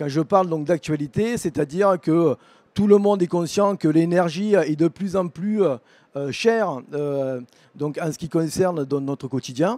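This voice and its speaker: A man with a southern French accent, a dark, mellow tone, a high pitch, ordinary pitch variation and a fairly slow pace, in dry, close sound with no echo. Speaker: vocational teacher. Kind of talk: presentation at an education fair. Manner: halting, many fillers.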